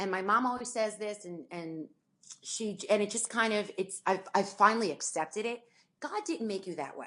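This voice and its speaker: Her tone animated, a woman speaks at a medium pitch with ordinary pitch variation and big swings in loudness. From New Jersey. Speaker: sports anchor and reporter. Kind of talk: interview conversation. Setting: podcast. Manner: fast.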